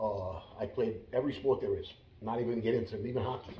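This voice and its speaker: There's audible room echo and noticeable background noise as a man at medium pitch speaks fairly quickly with ordinary pitch variation. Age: 60s. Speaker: former mobster and martial arts instructor. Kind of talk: interview. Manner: halting.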